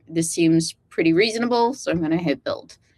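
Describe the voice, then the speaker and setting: Against a quiet background, a woman with an American accent speaks at a fairly low pitch with lively intonation. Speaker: AI developer relations lead running a workshop. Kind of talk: live technical workshop demo. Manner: halting, many fillers.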